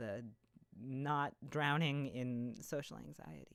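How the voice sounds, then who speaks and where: A quiet, mumbling woman's voice. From Canada. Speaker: vtuber streamer. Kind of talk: live stream debut chat. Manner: halting, repetitive stammering.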